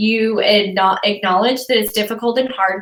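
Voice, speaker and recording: A woman speaks at a fairly quick pace in a fairly high pitch, her tone animated. Noticeable background noise is present. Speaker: social media coach. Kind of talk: casual chat. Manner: loud.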